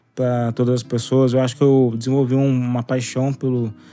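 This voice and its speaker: The voice belongs to a man and has a dark, mellow tone. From Brazil, Cruzeiro, São Paulo state countryside. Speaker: podcaster. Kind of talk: personal storytelling podcast. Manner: casual, halting with restarts.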